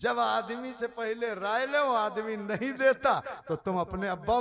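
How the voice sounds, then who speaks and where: A loud man, high-pitched for a man, over noticeable background noise. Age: 60s. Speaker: Islamic preacher. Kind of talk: sermon.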